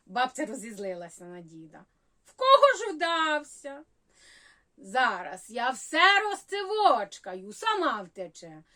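In a raised, projected voice with a bright, sharp tone, a woman speaks very slowly at a high pitch, her pitch swinging very widely. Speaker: humorist. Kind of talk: humorous story reading.

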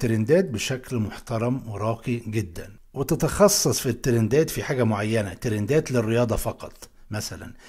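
A man's somewhat breathy, medium-pitched voice with a dark, mellow tone and an Alexandrian accent, over a quiet background. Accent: Egyptian Arabic, Alexandrian. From Egypt, Alexandria; Egypt. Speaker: YouTube educator. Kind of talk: tutorial. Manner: animated. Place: home room.

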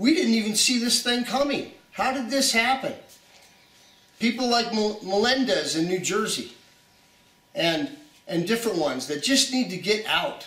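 A man with an extremely high pitch speaks at a moderate pace with lively intonation. Long, frequent pauses and an audible room echo are present. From USA. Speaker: preacher. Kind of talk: video message, prophetic testimony. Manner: halting, many fillers. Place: home room.

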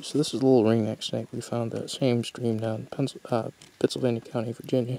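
Speaking at a fairly quick pace, a man holds a medium pitch with monotone, flat intonation, in a dry sound with no echo. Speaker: university herping club member, amateur herper. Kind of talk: casual nature narration to camera. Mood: excited, enthusiastic. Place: forest. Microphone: phone near.

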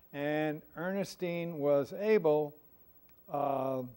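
Speech from a man, with ordinary pitch variation. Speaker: panelist. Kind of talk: panel discussion answer. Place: hall. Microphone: lapel.

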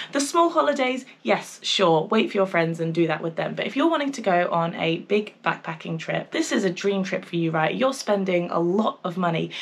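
A woman at a moderate pace, very wide pitch swings, hardly any pauses. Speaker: travel vlogger. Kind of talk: casual vlog chat. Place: home room.

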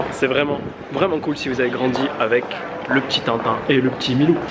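A man speaks at a moderate pace. Loud background noise is heard. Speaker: travel vlogger. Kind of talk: casual vlog chat. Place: street. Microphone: phone near.

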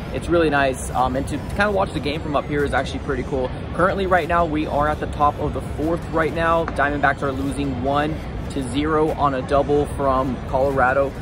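With clear music in the background and a dry sound with no echo, a man talks at a fairly quick pace with ordinary pitch variation. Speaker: sports fan vlogger. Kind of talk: casual vlog chat. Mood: relaxed, mildly disappointed. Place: stadium. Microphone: phone near.

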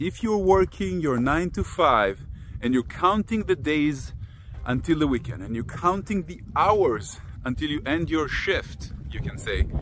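The speech moves at a moderate pace in a dry sound with no echo, with light background noise. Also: man. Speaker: personal growth teacher. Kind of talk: casual vlog talk, teaching. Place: open country. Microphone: phone near.

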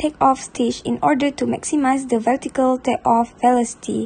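Over noticeable background noise, a woman talks at a moderate pace. Her pitch is high, with ordinary variation. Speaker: university student. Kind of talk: class presentation.

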